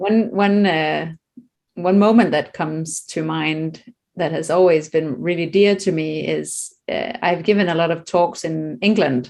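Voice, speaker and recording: Speaking in a Danish accent, a woman keeps a fairly low pitch with ordinary variation at a fairly slow pace. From Denmark. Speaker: children's meditation author. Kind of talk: casual interview conversation.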